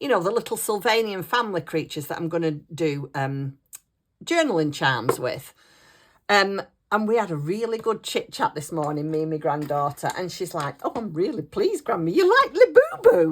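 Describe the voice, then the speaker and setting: A woman with a northern English accent at a moderate pace, in a very clean recording with a silent background. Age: 60s. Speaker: craft YouTuber. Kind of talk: casual chat. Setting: at home desk. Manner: chatty.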